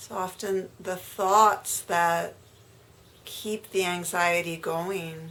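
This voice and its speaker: A woman speaks in a soothing tone with fairly even intonation. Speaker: meditation guide. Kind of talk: guided meditation. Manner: soft-spoken, slow, soothing.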